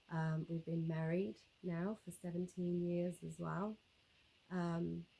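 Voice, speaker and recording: Very slow and flat in intonation, a woman speaks with a fairly low pitch in a dark, mellow tone. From South Africa. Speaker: YouTuber, homesteader. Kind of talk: casual vlog talk to camera. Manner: relaxed, many fillers and repetitions.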